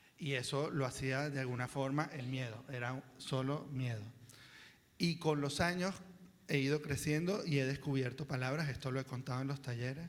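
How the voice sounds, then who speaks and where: At a moderate pace, a man with a normal speaking voice talks in a fairly high pitch with fairly even intonation. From Venezuela, Caracas (Chacao). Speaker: children's book author, panelist. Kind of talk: panel talk at a seminar.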